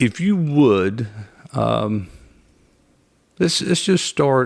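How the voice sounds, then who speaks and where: In a very clean recording with a silent background, a man with a North Carolina accent talks at a very slow pace and a medium pitch, his pitch swinging very widely. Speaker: podcast host, mortgage division leader. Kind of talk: interview podcast.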